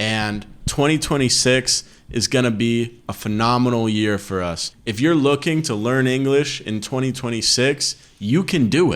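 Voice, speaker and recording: This man has an ordinary speaking voice with an American accent, a medium pitch, ordinary pitch variation and a moderate pace. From United States. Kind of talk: casual podcast conversation.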